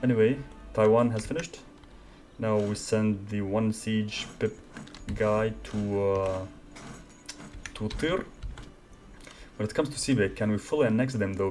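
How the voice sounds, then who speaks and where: Long, frequent pauses break up this speech, which carries a non-native accent. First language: not English. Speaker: gaming YouTuber. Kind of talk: let's play commentary. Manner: casual, thinking aloud.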